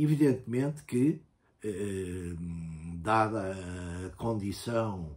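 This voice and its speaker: The voice is somewhat breathy, with very wide pitch swings. It moves at a very slow pace. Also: man. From Portugal. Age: 70s. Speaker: university professor and writer, former political prisoner. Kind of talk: interview. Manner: hesitant, many filler sounds.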